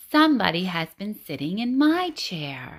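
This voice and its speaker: This female-sounding voice is a put-on character voice at medium pitch. It moves at a moderate pace with very wide pitch swings. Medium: read story.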